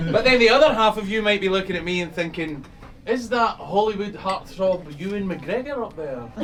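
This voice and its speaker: A man's high-pitched, lively voice at a fairly quick pace, with big swings in loudness, audible room echo and noticeable background noise. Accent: Scottish. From Scotland. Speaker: magician. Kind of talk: stand-up magic performance. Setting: stage with live audience. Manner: animated, comedic.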